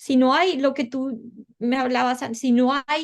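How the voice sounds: A woman speaks with a Colombian accent at a high pitch. Her intonation stays fairly even.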